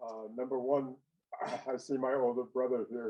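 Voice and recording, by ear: With an American accent, a man talks in a dark, mellow tone and fairly even intonation.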